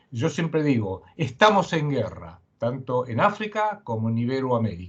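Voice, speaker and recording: Over a quiet background, a man speaks at a fairly slow pace. His voice is fairly high and somewhat breathy, with very wide pitch swings. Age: 70s. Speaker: geopolitical analyst and writer. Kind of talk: interview.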